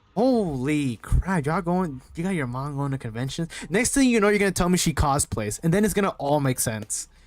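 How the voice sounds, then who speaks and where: Music plays in the background as the voice moves at a moderate pace with lively intonation and an animated tone. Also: man. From US, central time zone. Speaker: streamer. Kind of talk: live stream chat. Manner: casual, animated; halting, repeats words.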